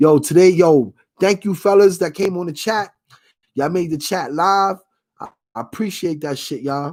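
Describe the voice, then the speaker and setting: Animated in tone, a man with a high-pitched voice speaks with lively intonation. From New York. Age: 40s. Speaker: sports streamer. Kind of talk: casual livestream chat. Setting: livestream.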